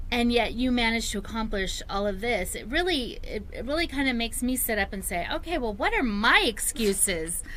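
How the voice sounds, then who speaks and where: A woman speaks at a high pitch with an American accent and lively intonation, moving at a fairly quick pace with hardly any pauses. Room echo is audible, and background noise is noticeable. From United States. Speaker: talk show co-host. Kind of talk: talk show interview.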